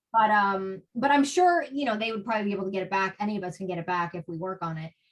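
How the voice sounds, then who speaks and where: A woman with a New Jersey accent at a very fast pace. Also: medium pitch for a woman, ordinary pitch variation. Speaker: author and spiritual guest. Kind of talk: podcast interview.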